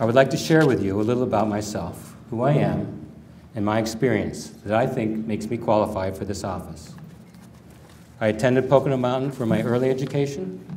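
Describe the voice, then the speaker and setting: Light background noise sits behind a man who talks at a fairly quick pace with ordinary pitch variation. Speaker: candidate. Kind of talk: campaign announcement speech. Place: hall.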